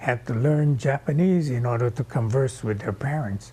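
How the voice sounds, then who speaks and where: A man's somewhat breathy voice, dark and mellow in tone, with ordinary pitch variation at a moderate pace. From Hawaii, Kauai. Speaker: oral history interviewee. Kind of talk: oral history testimony.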